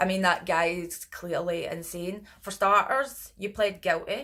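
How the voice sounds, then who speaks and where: A woman with a Glaswegian accent speaks at a fairly slow pace. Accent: Glaswegian Scottish. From Scotland, Glasgow. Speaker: YouTuber, true crime commentator. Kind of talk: rant to camera. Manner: halting, many fillers.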